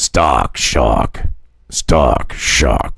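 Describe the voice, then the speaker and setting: Putting on a character voice, a man speaks with a very deep, low pitch. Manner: dramatic, showy.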